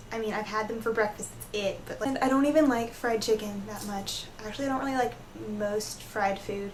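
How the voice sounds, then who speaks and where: A woman with a Southern US accent talks at a fairly quick pace in a fairly high voice, her intonation fairly even but her loudness swinging widely. Noticeable background noise and audible room echo fill the recording. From US South. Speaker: vlogger. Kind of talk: casual vlog rant. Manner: hesitant, frequent ums.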